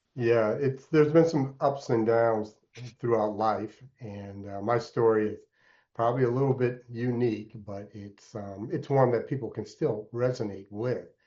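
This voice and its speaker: A man with an ordinary speaking voice and an American accent, medium in pitch, fairly slow, with ordinary pitch variation and big swings in loudness. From Alaska (Anchorage), earlier upstate New York. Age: 60s. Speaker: entrepreneur and mentor. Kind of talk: podcast interview.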